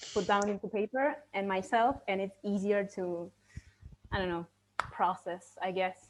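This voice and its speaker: Against a quiet background, a woman with a Spanish accent talks at a very slow pace. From Argentina. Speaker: virtual assistant, event participant. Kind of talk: casual group discussion. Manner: halting, many fillers.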